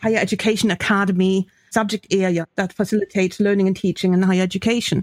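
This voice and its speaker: Very fast and monotone with flat intonation, a woman with a German accent speaks at a medium pitch and very even loudness, the sound dry and close with no echo in a very clean recording with a silent background. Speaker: professor and podcast co-host. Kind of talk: casual academic discussion.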